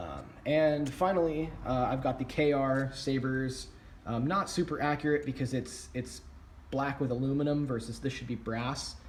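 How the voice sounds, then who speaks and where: Fairly even intonation in a man's voice of medium pitch. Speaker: prop hobbyist YouTuber. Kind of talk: tutorial. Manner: fast; casual with many fillers.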